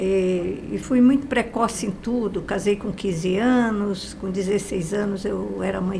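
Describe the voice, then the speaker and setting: A woman's medium-pitched voice at a fairly slow pace with fairly even intonation, plus noticeable background noise and audible room echo. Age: 80s+. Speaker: guest speaker on positive thinking. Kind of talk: interview testimony.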